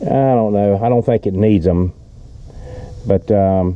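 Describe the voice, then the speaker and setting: A man talks at a moderate pace, with noticeable background noise around him. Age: 70s. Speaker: boat owner reviewing his own boat. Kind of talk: casual video walkthrough. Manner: casual with frequent fillers.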